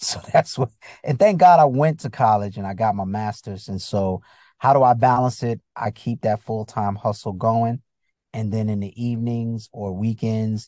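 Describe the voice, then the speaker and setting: Dry and close with no echo, this recording carries a man with an American accent. His fairly low pitch has a dark, mellow tone and ordinary pitch variation. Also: quiet background. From US Northeast, Bridgeport, Connecticut. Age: 50s. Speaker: comedian and actor. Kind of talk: casual interview chat. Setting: video call.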